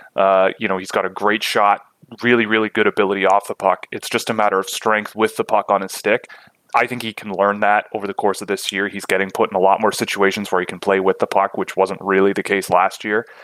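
In a dry, close recording with no echo, a man speaks very fast with monotone, flat intonation. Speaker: hockey draft analyst. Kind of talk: interview.

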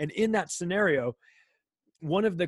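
A man speaks with an American accent, the sound dry and close with no echo. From Southern California, Palm Springs. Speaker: podcaster. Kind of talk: casual chat. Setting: remote call. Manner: halting, repetitive restarts.

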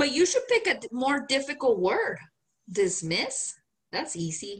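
A woman with a Mexican accent speaks at a fairly slow pace in an animated tone with very wide pitch swings. She leaves long, frequent pauses. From Mexico (Guanajuato, Mexico City). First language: Spanish. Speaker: podcast co-host. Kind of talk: casual chat. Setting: video call.

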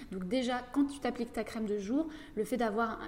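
A woman at a fairly high pitch, ordinary pitch variation and moderate pace, over noticeable background noise. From northeastern France (Château-Thierry, near Reims). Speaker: facialist and massage therapist. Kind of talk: casual interview. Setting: studio.

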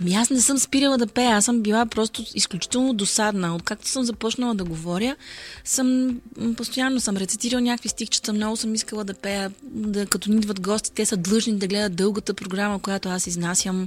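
A woman speaks at a fairly quick pace in a fairly high, somewhat breathy voice. Her pitch varies in an ordinary way. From Bulgaria, Burgas. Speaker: singer. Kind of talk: casual chat.

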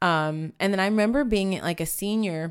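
In a very clean recording with a silent background, a woman with an American accent speaks at a fairly quick pace with ordinary pitch variation. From San Antonio, Texas. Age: 30s. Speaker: church worship leader. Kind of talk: casual interview chat. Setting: studio at a table with host.

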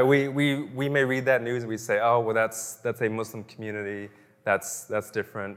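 Using a plain, everyday voice, a man keeps a medium pitch and ordinary pitch variation. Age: 30s. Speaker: pastor. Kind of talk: sermon.

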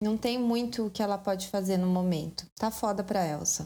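A woman's ordinary pitch variation and moderate pace come through noticeable background noise. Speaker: podcast host. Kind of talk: scripted narration. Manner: casual.

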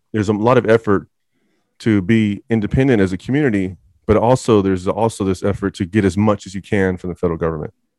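Talking at a very fast pace, a man uses a fairly low voice with ordinary pitch variation. The sound is dry and close, with no echo. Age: 40s. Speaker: YouTuber and commentator. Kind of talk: casual interview chat.

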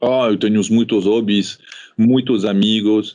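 The speaker has a French accent and talks at a fairly slow pace. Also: man. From France, childhood also in Morocco and Réunion. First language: French (speaking Portuguese). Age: 40s. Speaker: company executive. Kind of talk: interview. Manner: halting, with many fillers and repetitions.

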